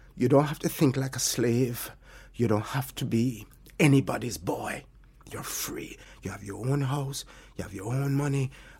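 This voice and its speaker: A man speaks at a moderate pace with a medium pitch and ordinary pitch variation. His voice is somewhat breathy, with big swings in loudness. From Jamaica, Alligator Pond (St Elizabeth). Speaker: restaurant hospitality worker. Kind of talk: interview conversation.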